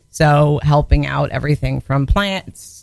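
Her pitch very deep and low, a woman speaks at a fairly slow pace. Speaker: guest, performer. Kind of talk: casual banter, adult comedy chat. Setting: radio studio. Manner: bubbly, excited.

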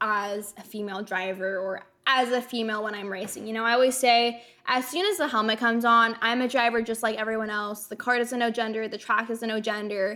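A woman talks at a moderate pace in a bright, sharp tone. Her voice is fairly high, with ordinary pitch variation. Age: 20s. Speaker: race car driver. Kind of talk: interview.

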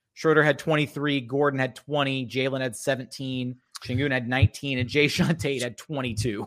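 A man with an ordinary speaking voice at medium pitch. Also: fairly even intonation, fairly quick pace. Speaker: basketball podcast host. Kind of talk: casual sports podcast chat. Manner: joking, talkative.

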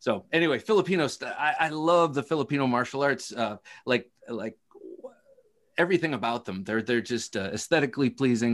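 An ordinary speaking voice from a man with an American accent, lively intonation and a fairly quick pace. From Ohio. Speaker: knife podcaster. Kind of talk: casual chat.

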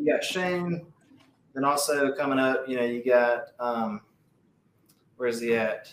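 A man with an Alabama accent, at a fairly slow pace with long, frequent pauses and ordinary pitch variation. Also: medium pitch for a man. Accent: Southern US (Alabama). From US South. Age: 30s. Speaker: strongman athlete. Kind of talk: casual chat.

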